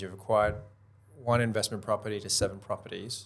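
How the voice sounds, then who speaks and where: This is a man talking at a moderate pace. His pitch sits in the medium range. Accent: Australian. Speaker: podcast host and buyer's agent. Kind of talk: interview.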